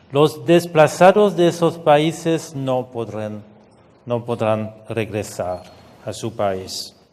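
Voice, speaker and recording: A man with a fairly high pitch speaks at a very slow pace, his voice making very wide pitch swings over noticeable background noise. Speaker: UN refugee agency official. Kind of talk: conference speech. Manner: halting, with fillers and repetitions.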